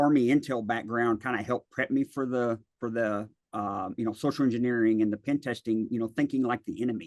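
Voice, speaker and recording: A man speaks with a Tennessee accent at a moderate pace. His pitch is medium, and the sound is dry and close with no echo. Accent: Southern US (Tennessee). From West Tennessee, near Memphis. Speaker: cybersecurity consultant, army veteran. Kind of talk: interview. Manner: hesitant, many fillers.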